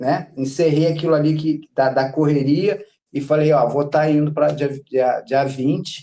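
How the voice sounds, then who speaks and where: A man's fairly high voice with a dark, mellow tone, a fairly slow pace, very even loudness and fairly even intonation. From Rio de Janeiro, Brazil. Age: 60s. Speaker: patient guest sharing illness story. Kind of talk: casual interview testimony. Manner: halting, repetitive.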